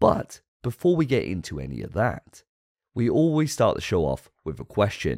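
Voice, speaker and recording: Speaking with a British accent, a man at a medium pitch shows vocal fry and very wide pitch swings in a dry, close sound with no echo. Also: very clean recording, silent background. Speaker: podcast host. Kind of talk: casual chat.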